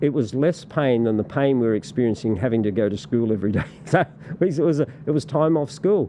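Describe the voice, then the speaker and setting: Talking at a very fast pace over noticeable background noise, a man keeps a medium pitch, lively intonation and very even loudness. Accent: Australian. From Australia. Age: 60s. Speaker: political party representative. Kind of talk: casual interview chat. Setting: podcast studio. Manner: halting, many repetitions and fillers.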